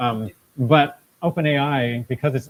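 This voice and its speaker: A man speaks in a somewhat breathy voice. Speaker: tech meetup presenter. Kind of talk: live tech talk with audience Q&A. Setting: event space with live audience. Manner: conversational, with repetitions.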